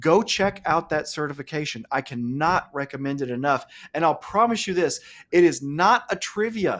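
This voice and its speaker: Lively intonation marks this man's speech. He has a fairly high pitch and an Alabama accent. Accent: Southern US (Alabama). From US South, Alabama. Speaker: cloud computing instructor. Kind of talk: live-streamed webinar chat. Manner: fast; animated.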